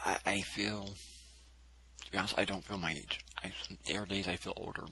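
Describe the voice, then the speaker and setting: A man speaks with vocal fry. His intonation is monotone and flat. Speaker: vlogger. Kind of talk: monologue. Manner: halting.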